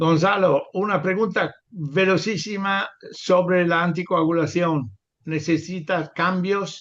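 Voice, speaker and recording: A man with a high pitch, fairly even intonation, a very slow pace and a non-native accent. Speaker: webinar moderator, professor. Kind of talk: panel moderation. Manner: halting, many fillers.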